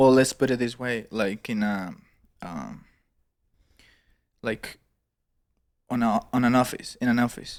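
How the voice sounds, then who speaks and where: In a Spanish accent, a man delivers his words at a fairly slow pace. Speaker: podcast co-host. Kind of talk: casual chat.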